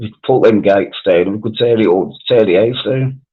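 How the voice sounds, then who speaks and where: Speaking with a Birmingham accent, a man keeps a fairly quick pace. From Wales. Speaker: live stream panelist. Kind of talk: casual chat.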